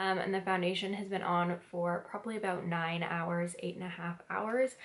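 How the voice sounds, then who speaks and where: A soft-spoken woman's medium-pitched voice, fairly even in intonation, at a moderate pace amid noticeable background noise. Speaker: beauty vlogger. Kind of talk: product review vlog.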